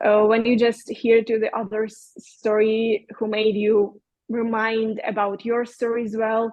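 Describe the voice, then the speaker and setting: A woman with a Russian accent speaks at a fairly slow pace in a fairly high pitch with monotone, flat intonation. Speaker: podcast guest, bereaved mother, yoga teacher. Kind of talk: interview, personal testimony. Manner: halting, with fillers.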